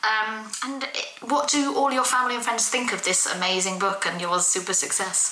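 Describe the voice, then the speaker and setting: A woman with a British accent speaks at a moderate pace in a fairly high pitch, with ordinary pitch variation and hardly any pauses. Noticeable background noise can be heard. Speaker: podcast host. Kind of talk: casual chat.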